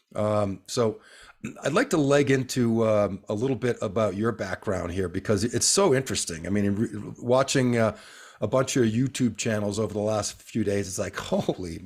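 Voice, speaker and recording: A man with an American accent has an unremarkable speaking voice in a medium pitch. He talks at a moderate pace with ordinary pitch variation, in a very clean recording with a silent background. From northeastern US. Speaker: podcast host. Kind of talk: casual interview.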